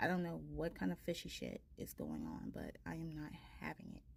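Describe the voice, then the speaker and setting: A woman is speaking. Her voice is soft-spoken. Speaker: tarot reader. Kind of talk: casual chat. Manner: hesitant, many fillers.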